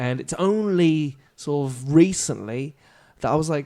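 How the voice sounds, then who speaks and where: A man speaks in a British accent with a dark, mellow tone and ordinary pitch variation. The recording is very clean, with a silent background. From France. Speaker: comedian and actor. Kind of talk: podcast interview answer.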